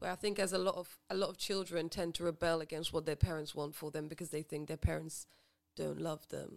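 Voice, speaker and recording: At a fairly quick pace, a woman speaks in a monotone, flat intonation with vocal fry and a fairly low pitch for a woman. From Grenada, raised in England. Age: 20s. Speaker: podcast guest. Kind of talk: casual chat.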